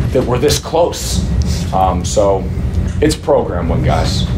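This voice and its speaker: A man speaks with music playing in the background. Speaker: head football coach. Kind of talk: press conference answer. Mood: proud, emotional after a win. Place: meeting room. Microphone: podium.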